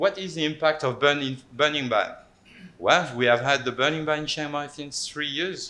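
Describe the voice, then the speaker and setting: A man with a French accent and a bright, sharp tone speaks at a moderate pace. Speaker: anthropologist. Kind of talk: panel talk presentation. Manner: halting, many repetitions.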